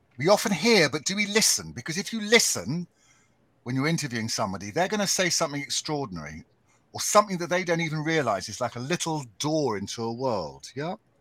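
Someone with a British accent talks at a very fast pace in a bright, sharp tone, with very wide pitch swings. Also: man, fairly high pitch for a man. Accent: English (British RP-like). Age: 60s. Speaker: podcaster and radio writer. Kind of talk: live panel discussion. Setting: live stream video call.

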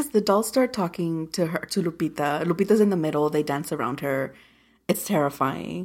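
A woman with a plain, everyday voice, lively intonation and a moderate pace. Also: fairly low pitch for a woman. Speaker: podcast co-host. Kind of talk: casual movie review chat.

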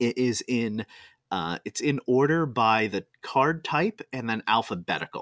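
Recorded very cleanly against a silent background, with a dry, close sound and no echo, a man speaks fairly slowly at a medium pitch with lively intonation. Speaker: podcast co-host. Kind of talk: casual chat. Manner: animated.

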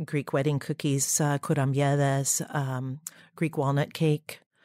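A woman speaks at a fairly slow pace in an American accent with a very deep, low pitch, recorded very cleanly against a silent background with a dry, close sound and no echo. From US Midwest, Dayton, Ohio. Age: 50s. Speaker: olive oil producer. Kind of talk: interview.

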